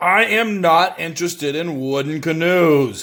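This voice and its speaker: Over a silent background in a very clean recording, a man speaks loudly at a moderate pace in a put-on character voice with a high pitch. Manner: indignant, gruff.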